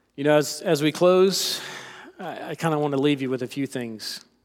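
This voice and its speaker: The loudness shows big swings. The speaker talks with a slight South Carolina accent. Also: man. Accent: slight Southern (South Carolina). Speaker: lay preacher. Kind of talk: sermon. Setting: church.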